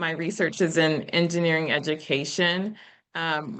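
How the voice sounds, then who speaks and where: A woman's fairly low voice at a fairly slow pace against a quiet background. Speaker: engineering professor. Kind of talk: lecture. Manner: informal.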